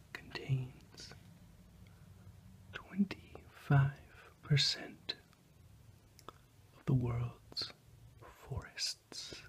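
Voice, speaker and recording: A man whispering very slowly, with long, frequent pauses. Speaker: ASMR role-play geography professor. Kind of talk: ASMR role-play lesson. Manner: whispered, soft-spoken.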